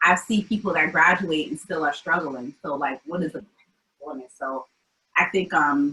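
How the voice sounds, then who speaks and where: With an American accent, a woman speaks at a moderate pace in a very deep, low pitch. Her tone is bright and sharp, with big swings in loudness and ordinary pitch variation. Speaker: community founder. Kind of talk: interview. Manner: casual, many fillers.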